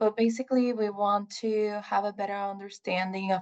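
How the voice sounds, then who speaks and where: A woman with a Puerto Rican accent talks at a fairly slow pace in a medium pitch against a quiet background. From Puerto Rico. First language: Spanish. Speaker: research scientist. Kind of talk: presentation. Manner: halting, many fillers.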